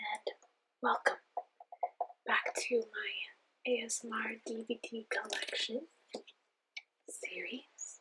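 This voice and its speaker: A soft-spoken woman talks very slowly, stopping often for long pauses. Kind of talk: ASMR show-and-tell of DVD collection.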